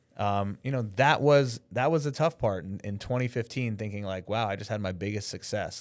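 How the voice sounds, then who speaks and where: In an ordinary speaking voice with an American accent, a man talks at a fairly low pitch and a fairly quick pace with lively intonation, in a very clean recording with a silent background. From New York. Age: 40s. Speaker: filmmaker and live broadcast director. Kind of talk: podcast interview. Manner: casual, filler-heavy.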